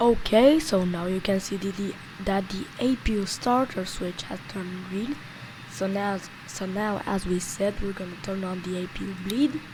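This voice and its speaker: With music playing in the background, a woman talks at a moderate pace in a medium pitch with ordinary pitch variation. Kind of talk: flight simulator tutorial voice-over. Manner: unscripted, with stutters and restarts.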